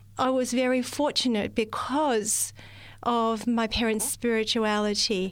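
With an Australian accent, a woman speaks at a fairly slow pace. Her voice is fairly high in pitch, and her intonation stays fairly even. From Australia, rural central New South Wales. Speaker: receptionist. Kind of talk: testimony. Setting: studio.

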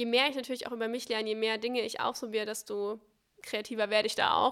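A woman with a fairly high pitch is heard in a very clean recording against a silent background. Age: 20s. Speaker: social media entrepreneur. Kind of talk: casual chat. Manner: charming.

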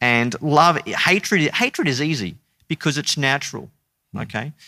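Bright and sharp in tone, a man's fairly high voice carries an Australian accent. He talks at a fairly slow pace with lively intonation. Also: very clean recording, silent background. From Queensland, Australia (Brisbane). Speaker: theology lecturer. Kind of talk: interview conversation.

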